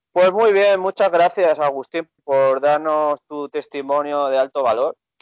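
A plain, everyday voice. It moves at a fairly slow pace with ordinary pitch variation. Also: man. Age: 30s. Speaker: podcast host, dating coach. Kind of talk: casual interview.

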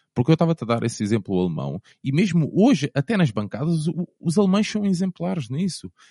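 The sound is dry and close, with no echo. A somewhat breathy man speaks at a moderate pace. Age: 30s. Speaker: football fan, former ultras group leader. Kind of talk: casual interview chat.

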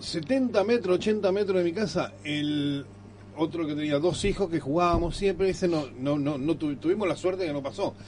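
Here a man talks at a moderate pace. His pitch is high. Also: lively intonation. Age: middle-aged or older. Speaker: radio co-host. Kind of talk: casual radio chat.

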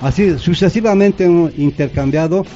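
A man talks at a moderate pace while noticeable background noise is heard throughout. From Bolivia, Yungas of La Paz (Chulumani). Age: 60s. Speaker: former football organiser. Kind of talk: radio interview. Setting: radio studio.

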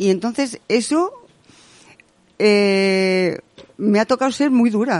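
A woman speaks at a very slow pace, her pitch fairly high and her loudness very even. Long pauses come often. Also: lively intonation. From Spain, Salamanca province. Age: 70s. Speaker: retired woman sharing life story. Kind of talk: interview, personal testimony.

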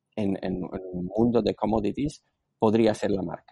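With a Slovak accent, a man speaks at a moderate pace in a fairly low pitch. His tone is dark and mellow, and his intonation is fairly even. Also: dry, close sound with no echo. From Slovakia. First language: Slovak (speaking Spanish). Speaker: entrepreneur and business angel. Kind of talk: interview. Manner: halting.

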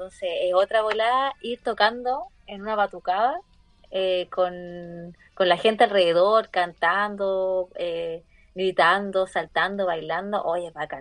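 With a Chilean accent, a woman speaks at a very slow pace and medium pitch, using ordinary pitch variation and big swings in loudness. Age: 20s. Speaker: podcast guest. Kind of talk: casual chat.

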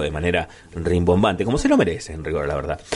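The speaker moves at a fairly quick pace with very wide pitch swings. Background noise is noticeable. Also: man. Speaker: radio host. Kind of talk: radio interview and music show. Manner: halting, many fillers.

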